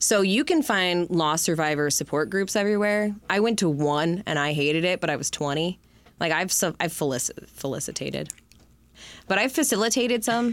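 On a very clean recording with a silent background, a woman with an Upper Midwest accent speaks at a moderate pace, with a fairly low pitch, very even loudness and lively intonation. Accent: Upper Midwest American. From Michigan, Detroit area. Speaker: founder of a suicide loss support organization. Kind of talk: interview. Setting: studio.

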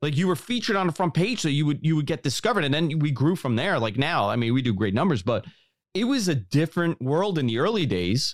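A man with a New York accent speaks at a very fast pace and a fairly high pitch, with very wide pitch swings, vocal fry and very even loudness, on a very clean recording with a silent background. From New York City, Queens (Bayside). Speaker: podcast host. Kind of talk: casual interview.

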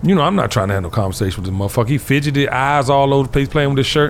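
A very fast-talking man with a fairly high pitch and lively intonation, over noticeable background noise. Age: 50s. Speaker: podcast host. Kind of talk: casual chat. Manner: animated.

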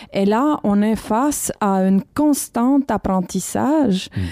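A woman with a Romanian accent speaks at a very slow pace in a fairly high pitch, with lively intonation, a dark, mellow tone and a dry, close sound with no echo. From Romania, Bucharest. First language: Romanian (speaking French). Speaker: documentary filmmaker. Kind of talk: casual chat. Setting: library room.

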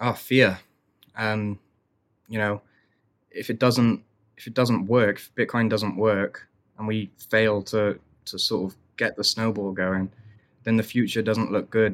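Fairly low male voice, flat monotone delivery, fairly slow pace with long, frequent pauses. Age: 20s. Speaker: Bitcoin author and video creator. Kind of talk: casual chat.

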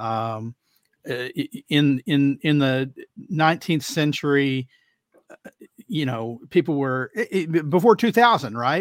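The recording is very clean, with a silent background and a dry, close sound with no echo. A man with an American accent speaks fairly slowly at a fairly high pitch, his intonation lively and his loudness swinging widely. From Texas. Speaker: climate policy commentator. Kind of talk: casual panel discussion. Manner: halting, many fillers.

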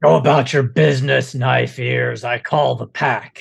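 A man's put-on character voice at a fairly slow pace, medium in pitch, with vocal fry, a slightly husky edge and fairly even intonation

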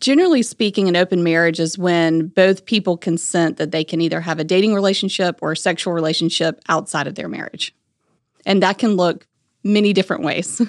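A woman speaks in an unremarkable speaking voice, pitched fairly low with ordinary pitch variation. The background is quiet and the sound is dry and close with no echo. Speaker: family law attorney. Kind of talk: podcast discussion.

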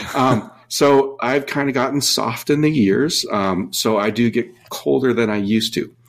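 Recorded very cleanly with a silent background, a man with an American accent and a normal speaking voice talks fairly slowly at a medium pitch, showing ordinary pitch variation and hardly any pauses. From Minnesota. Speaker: dive equipment company employee and co-host. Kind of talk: casual chat.

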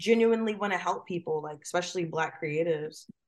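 An ordinary speaking voice from a woman with an American accent, fairly quick in pace, with ordinary pitch variation. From New Jersey. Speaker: marketing professional and designer. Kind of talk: interview. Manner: casual, with frequent fillers.

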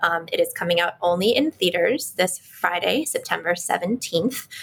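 A woman with an American accent and an ordinary speaking voice, medium in pitch, at a moderate pace with ordinary pitch variation. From Washington, D.C. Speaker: educator. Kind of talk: casual chat.

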